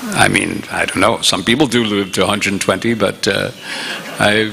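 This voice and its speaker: Over noticeable background noise, a man talks at a moderate pace in a New York State accent. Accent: American (New York State). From upstate New York, US. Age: 70s. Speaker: visiting monk lecturer. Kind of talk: religious lecture.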